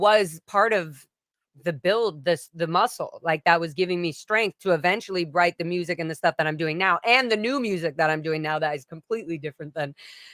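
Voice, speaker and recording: A bright, sharp, animated woman's voice, fairly low-pitched, with a slight British accent, a fairly quick pace, lively intonation and a dry, close sound with no echo. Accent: slight British-sounding lilt. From US, ranch then Florida. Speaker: singer. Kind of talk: casual chat.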